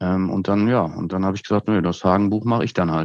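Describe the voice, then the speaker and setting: Against a quiet background, a man with a very deep, low voice speaks with fairly even intonation, the sound dry and close with no echo. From Westphalia, Germany (Hagen, edge of Ruhr area). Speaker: brand consultant and professor. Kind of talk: conversational interview.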